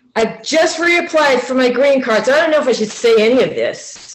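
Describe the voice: In a room with audible echo, a woman talks at a fairly quick pace with a high pitch and lively intonation.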